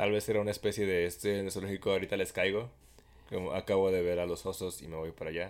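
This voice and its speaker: A man at a very fast pace with fairly even intonation, on a very clean recording with a silent background. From Mexico. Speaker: podcast co-host. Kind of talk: casual chat. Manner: loud.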